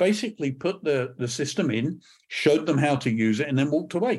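Here a man speaks with a British accent. His fairly high voice has lively intonation. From Scotland, British. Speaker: church media consultant, former TV executive. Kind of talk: casual interview conversation. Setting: remote recording.

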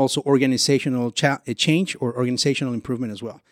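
A man talks at a very fast pace in a dry, close recording with no echo, very clean and with a silent background. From Venezuela. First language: Spanish. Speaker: business consultant. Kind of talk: interview. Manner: halting.

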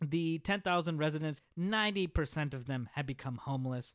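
An ordinary speaking voice from a man with an American accent, fairly high in pitch, with ordinary pitch variation and a moderate pace, on a very clean recording with a silent background. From Oklahoma (Tulsa). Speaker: podcast host. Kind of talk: history monologue. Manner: frequent filler uhs.

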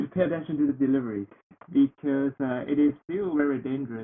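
This voice carries a Chinese accent. Its pitch variation is ordinary. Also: man. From northeast China, Heilongjiang. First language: Mandarin Chinese. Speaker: international student. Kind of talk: casual interview.

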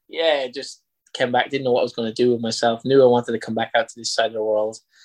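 Someone with an Irish accent speaks at a very fast pace. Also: man. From Ireland, County Carlow. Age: 30s. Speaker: football coach. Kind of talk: interview.

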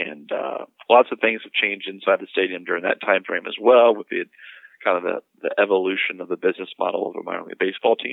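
A man with an American accent talks at a very fast pace, with big swings in loudness. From North Carolina. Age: 30s. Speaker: minor league baseball club executive. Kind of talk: interview. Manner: halting, many fillers and repetitions.

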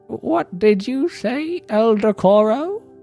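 In a put-on character voice, someone speaks shrill and fairly high at a very slow pace, with faint music in the background.

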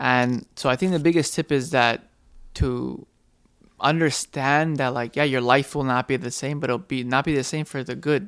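The recording is very clean, with a silent background. An unremarkable speaking voice moves at a moderate pace with fairly even intonation. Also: man, medium pitch for a man. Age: 20s. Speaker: podcast co-host, father. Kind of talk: casual chat.

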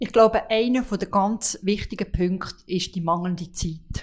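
Her pitch medium, a woman speaks at a fairly slow pace with fairly even intonation. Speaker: home care association director. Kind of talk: interview. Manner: halting.

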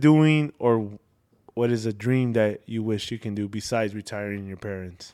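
A man talks at a moderate pace in a normal speaking voice, with ordinary pitch variation. The recording is very clean, with a silent background. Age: 20s. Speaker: podcast host. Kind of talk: casual chat.

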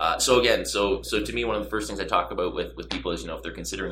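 With a Canadian accent, a man speaks over audible room echo. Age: 30s. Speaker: real estate broker. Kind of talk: interview.

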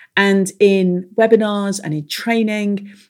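A woman speaks with an English accent. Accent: English-sounding accent with Irish roots. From Ireland. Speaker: business strategist and mastermind coach. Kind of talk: interview, explaining.

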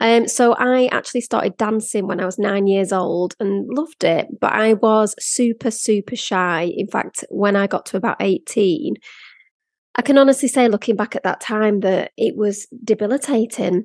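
A moderate pace with a Lancashire accent, ordinary pitch variation and a dry, close sound with no echo. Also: woman, fairly high pitch for a woman. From northern England, Blackpool. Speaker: podcast host and brand photographer. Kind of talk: personal storytelling monologue.

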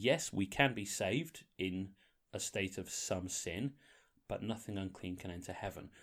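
Someone with a slight northern English accent speaks at a moderate pace with ordinary pitch variation. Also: man, fairly low pitch for a man. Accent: slightly northern English, formerly posh. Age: 40s. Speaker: podcast host. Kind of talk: casual chat. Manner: banterful, jokey.

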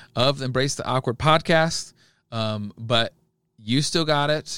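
In a very clean recording with a silent background, a man talks at a moderate pace with lively intonation and a bright, sharp tone, the sound dry and close with no echo. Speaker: youth pastor and podcast co-host. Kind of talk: casual chat.

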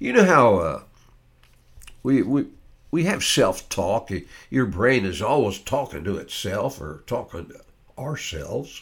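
Speaking at a medium pitch and a fairly slow pace, a man uses very wide pitch swings, long, frequent pauses and vocal fry. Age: 70s. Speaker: podcast host, brain health educator. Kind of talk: podcast monologue, educational talk. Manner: enthusiastic, animated; informal, conversational, repeats himself.

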